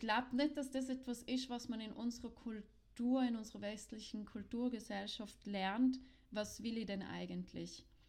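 Somewhat breathy, a woman speaks fairly slowly at a fairly high pitch with fairly even intonation. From South Tyrol. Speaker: podcast co-host, sex educator. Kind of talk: casual chat.

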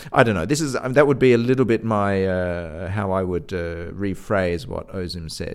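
This man's voice has a very deep, low pitch. He speaks at a moderate pace with ordinary pitch variation. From Australia, Adelaide. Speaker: orchestral violinist and conductor. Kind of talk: interview conversation. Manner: hesitant, with many fillers and restarts.

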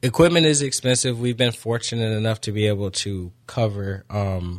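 A man's unremarkable speaking voice, fairly low in pitch with ordinary variation, in a very clean recording with a silent background. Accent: American. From Florida (Daytona). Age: 30s. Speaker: youth football coach and nonprofit founder. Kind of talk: radio interview.

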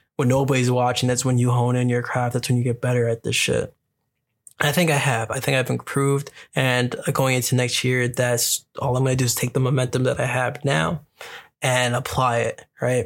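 The delivery is monotone and flat, at a moderate pace with very even loudness. The recording is very clean, with a silent background. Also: man, medium pitch for a man. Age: 20s. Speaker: podcast host. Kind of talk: casual solo monologue. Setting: recording on lunch break.

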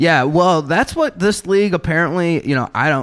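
A man with a plain, everyday voice, fairly high in pitch, at a fairly quick pace. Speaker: comedy podcast co-host. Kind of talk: comedic fantasy football banter.

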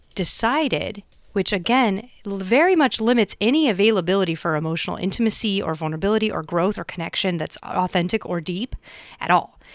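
A woman talks at a fairly quick pace with lively intonation in an ordinary speaking voice. The recording is very clean, with a silent background. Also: medium pitch for a woman. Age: 30s. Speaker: podcast co-host. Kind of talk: casual chat.

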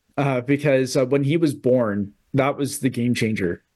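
With a Canadian accent, this unremarkable speaking voice moves at a moderate pace with ordinary pitch variation. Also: man. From Canada. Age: 30s. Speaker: real estate investor. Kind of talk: interview.

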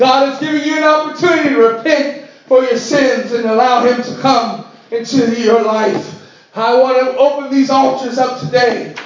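Amid noticeable background noise and audible room echo, a man with an extremely high pitch speaks at a moderate pace with fairly even intonation. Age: 30s. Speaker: pastor. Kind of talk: sermon.

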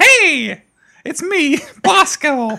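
In a put-on character voice, the speaker uses a high pitch. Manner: horrifying, creepy.

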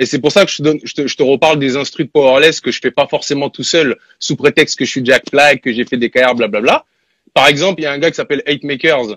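Dry and close with no echo, a man speaks at a very fast pace. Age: 30s. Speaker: rapper and music producer. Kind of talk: casual interview.

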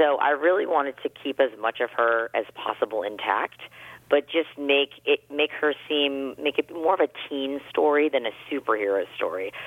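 Her pitch very deep and low, a woman talks at a moderate pace with lively intonation. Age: 40s. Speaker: author. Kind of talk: interview.

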